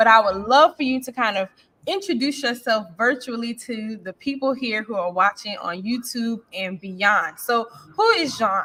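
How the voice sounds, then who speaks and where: At a moderate pace, a woman talks with an American accent and ordinary pitch variation. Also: fairly high pitch for a woman, big swings in loudness. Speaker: interviewer. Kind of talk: interview.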